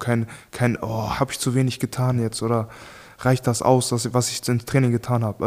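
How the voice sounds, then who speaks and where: Speaking at a moderate pace, the man keeps to a medium pitch. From Germany. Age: 20s. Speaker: professional boxer. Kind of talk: casual chat.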